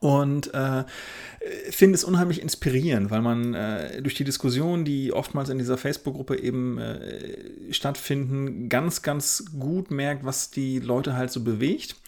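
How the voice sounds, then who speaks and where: Speaking at a fairly slow pace, a man has an ordinary speaking voice, fairly high in pitch, with ordinary pitch variation. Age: 30s. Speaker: wedding photographer, podcast co-host. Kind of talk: casual chat.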